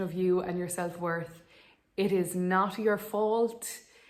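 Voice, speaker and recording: A woman with an Irish accent speaks in a monotone, with flat intonation. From Ireland. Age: 20s. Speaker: vlogger, dental student. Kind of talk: casual vlog advice talk.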